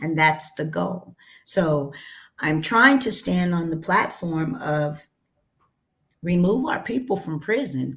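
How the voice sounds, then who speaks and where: Very slow and marked by long, frequent pauses, the speech carries lively intonation in an American accent on a very clean recording with a silent background. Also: woman, fairly low pitch for a woman. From New Mexico, US Southwest. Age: 60s. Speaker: cannabis entrepreneur. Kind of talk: interview. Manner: animated.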